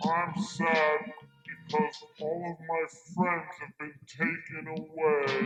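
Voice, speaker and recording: A cartoonish character voice at a middle pitch moves at a very slow pace. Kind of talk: live puppet show. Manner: sad, mournful.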